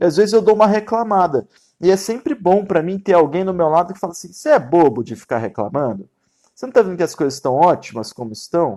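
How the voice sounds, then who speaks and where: Over a quiet background, a man speaks very fast in a high pitch with a dark, mellow tone. His pitch swings very widely, and his loudness shifts a great deal. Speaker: Ayurveda teacher. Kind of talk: live-stream lecture. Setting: live stream. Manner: casual, colloquial.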